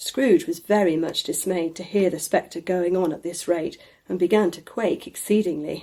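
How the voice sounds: What comes through is a natural reading voice.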